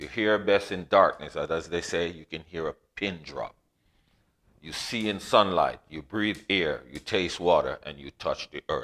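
A man at a fairly slow pace with big swings in loudness. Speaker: teacher. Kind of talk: lecture. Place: home room. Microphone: lapel.

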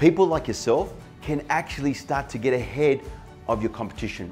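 A man speaks at a fairly quick pace while faint music plays behind him. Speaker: sales coach. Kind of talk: motivational talk to camera. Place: office. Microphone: lapel.

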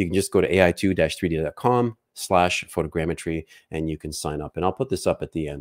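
Dry sound with no echo carries a man's very deep, low pitch. He talks at a fairly quick pace over a quiet background. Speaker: podcast host. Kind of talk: show intro and announcements. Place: studio. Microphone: studio mic.

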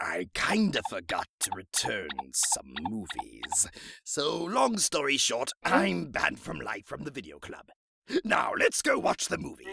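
A man puts on a whiny, cartoonish character voice, moving at a fairly slow pace with big swings in loudness. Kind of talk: comic overacting. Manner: boastful, self-absorbed, whiny about the movie.

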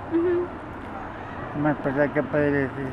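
A man speaks with a fairly high pitch over noticeable background noise. The sound is dry with no echo. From Tepeji del Río, Hidalgo, Mexico. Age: 70s. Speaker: goat herder, retired factory worker. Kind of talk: interview answer. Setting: outdoors. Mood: reminiscing, calm. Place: open country.

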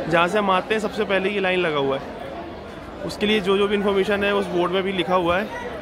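Crowd noise can be heard in the background. A man talks over it at a moderate pace. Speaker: travel vlogger. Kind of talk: casual vlog guide talk. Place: street. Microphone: phone near.

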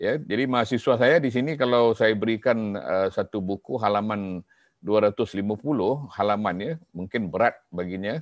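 Fairly low in pitch, a man talks slowly-ish in an ordinary speaking voice, at a fairly slow pace. The sound is dry with no echo, and the background is quiet. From Malaysia. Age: 50s. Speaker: professor. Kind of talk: lecture. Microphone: webcam.

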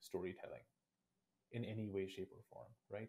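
Dark, mellow tone with little pitch movement. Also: man.

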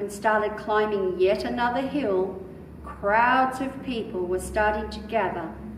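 Reading aloud in a natural voice is what this speaker is doing. Typical pitch movement runs through it.

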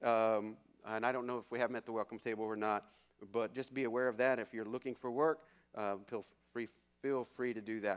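Against a quiet background, a man speaks at a fairly quick pace with monotone, flat intonation. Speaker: pastor giving announcements. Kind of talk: church announcements. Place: church. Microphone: podium.

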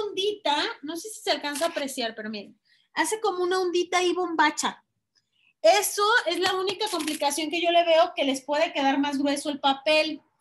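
A woman's extremely high-pitched voice moves with ordinary pitch variation. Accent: Mexican. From Mexico, Guadalajara; Jalisco, Mexico. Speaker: crafts teacher. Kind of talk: online class tutorial. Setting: video call. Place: workshop.

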